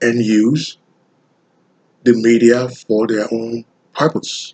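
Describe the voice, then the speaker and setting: A man with a Liberian accent at a very slow pace, the sound dry and close with no echo. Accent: deep Liberian West African. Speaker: graduate student. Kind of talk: class presentation. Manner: sounds like reading.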